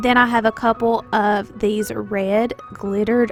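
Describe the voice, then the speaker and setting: Upbeat and fairly slow, a woman with a Southern US accent speaks in a fairly high pitch over background music. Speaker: stay-at-home mom, lifestyle vlogger. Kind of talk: home tour narration.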